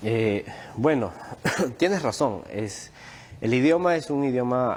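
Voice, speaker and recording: The voice is a man's. Its pitch shows ordinary variation. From Peru. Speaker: Quechua language teacher. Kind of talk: TV news interview. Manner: halting, many fillers.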